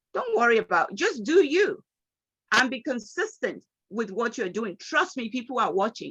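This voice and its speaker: In a Nigerian accent, a woman speaks at a moderate pace and fairly high pitch, her bright, sharp, animated tone carrying lively intonation in a dry, close sound with no echo. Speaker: motivational speaker. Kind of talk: motivational talk.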